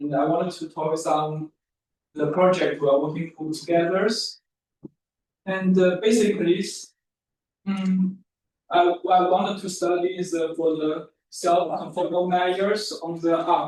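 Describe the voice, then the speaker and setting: A man with a non-native accent speaks at a fairly slow pace, pausing long and often. His high pitch follows fairly even intonation. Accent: non-native English pronunciation. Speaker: mathematics researcher. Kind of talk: lecture. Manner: halting.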